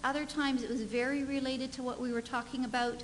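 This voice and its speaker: A woman at a fairly quick pace, with light background noise. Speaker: conference presenter. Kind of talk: conference presentation. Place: hall.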